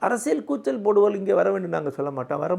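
A man talks at a high pitch with lively intonation. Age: 60s. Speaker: founder of a learning movement, speaker.

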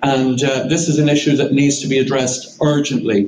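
Recorded with audible room echo and light background noise, a man speaks. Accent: Irish. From Ireland. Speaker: barrister, legal advisor. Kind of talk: press conference statement. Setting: press conference. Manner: formal. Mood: serious, earnest. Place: meeting room.

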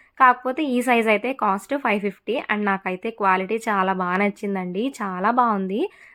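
In a very clean recording with a silent background, a woman speaks in a bright, sharp tone. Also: medium pitch for a woman, ordinary pitch variation. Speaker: vlogger. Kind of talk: vlog voiceover narration.

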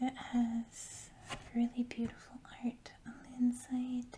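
A woman with a high pitch is soft-spoken, with a relaxed tone. She talks at a very slow pace over noticeable background noise. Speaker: ASMR creator. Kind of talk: ASMR box opening, casual talk to camera. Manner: soft-spoken, slow, relaxed.

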